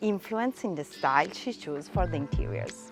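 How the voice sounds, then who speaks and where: A woman with an Italian accent talks at a moderate pace with lively intonation. Noticeable background noise can be heard. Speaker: real estate tour host. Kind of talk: property tour presentation.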